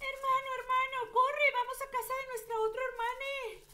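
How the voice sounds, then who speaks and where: A put-on character voice, whiny in tone, with an extremely high pitch, monotone, flat intonation and a moderate pace over clear background noise. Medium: comedy sketch. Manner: whiny, sighing "ay".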